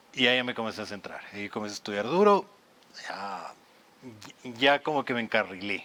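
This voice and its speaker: A man with a Quito accent at medium pitch, fairly quick pace, long and frequent pauses, and big swings in loudness. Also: ordinary pitch variation. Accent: Quito Ecuadorian Spanish. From Ecuador, Quito (Tumbaco). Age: 30s. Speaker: lawyer and content creator. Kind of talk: podcast interview.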